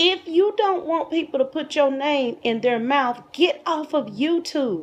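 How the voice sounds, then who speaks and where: Her pitch is high and her intonation lively. The woman speaks at a fairly slow pace. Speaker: YouTube commentator. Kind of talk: casual commentary monologue. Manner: soft-spoken.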